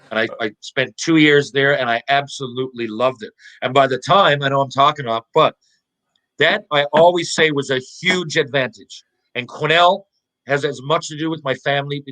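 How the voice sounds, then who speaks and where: A man's fairly high-pitched voice with a Newfoundland accent, animated and bright and sharp in tone, at a moderate pace with ordinary pitch variation and a dry, close sound with no echo. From Newfoundland, Canada (Mount Pearl). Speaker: former pro hockey player. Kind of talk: podcast interview storytelling.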